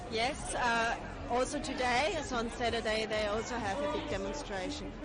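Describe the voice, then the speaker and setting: A woman speaks at a fairly high pitch with ordinary pitch variation and very even loudness. Crowd noise sits in the background, and room echo is audible. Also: moderate pace. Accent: Austrian. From Austria. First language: German. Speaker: rally attendee interviewed by streamer. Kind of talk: street interview. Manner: halting.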